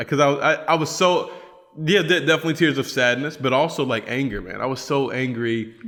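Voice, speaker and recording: An animated man with an American accent, a fairly high pitch, ordinary pitch variation and a fairly quick pace. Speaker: podcast host, missionary. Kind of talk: casual chat.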